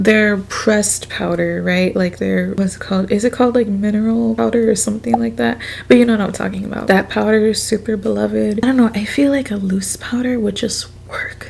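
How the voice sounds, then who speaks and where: A woman at a fairly quick pace with hardly any pauses, against noticeable background noise. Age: 20s. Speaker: beauty youtuber. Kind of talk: casual chat. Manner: casual, filler-heavy.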